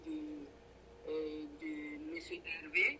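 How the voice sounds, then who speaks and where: A woman with a strong Burkinabe accent speaks very slowly in a fairly low voice with fairly even intonation. Room echo and noticeable background noise can be heard. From Burkina Faso. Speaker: braider and entrepreneur. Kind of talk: interview. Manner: hesitant, many fillers.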